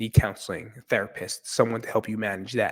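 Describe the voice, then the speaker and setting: The tone is animated at a moderate pace, on a very clean recording with a silent background. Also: man. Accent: American. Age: 40s. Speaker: mental health podcaster. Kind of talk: casual podcast monologue.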